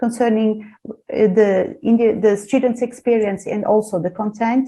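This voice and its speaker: A woman with a Portuguese accent, fairly high pitch and a dark, mellow tone, at a moderate pace with fairly even intonation. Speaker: university lecturer. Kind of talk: seminar presentation. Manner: halting.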